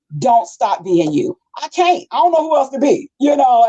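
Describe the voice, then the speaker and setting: A woman with an American accent speaks loudly in an animated tone at a moderate pace, her high voice making very wide pitch swings, recorded dry and close with no echo. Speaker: radio personality and community advocate. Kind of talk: interview, casual chat. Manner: loud, projecting.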